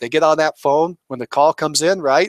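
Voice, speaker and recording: A man's fairly high voice with ordinary pitch variation, dry and close with no echo. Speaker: real estate coach. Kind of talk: webinar presentation. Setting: online webinar. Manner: fast; animated.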